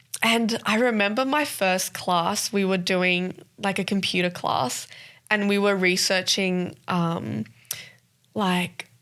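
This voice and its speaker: A woman with a strong Australian accent, at a very slow pace and very even loudness, in a very clean recording with a silent background. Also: medium pitch for a woman, ordinary pitch variation. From South Africa, Johannesburg, moved to Sydney at ten. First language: Afrikaans. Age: 20s. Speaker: podcast co-host. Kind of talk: casual interview chat.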